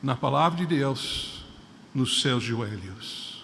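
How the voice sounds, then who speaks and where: A man talks at a very slow pace. Noticeable background noise and audible room echo surround him. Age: 60s. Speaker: preacher. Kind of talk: sermon. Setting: church.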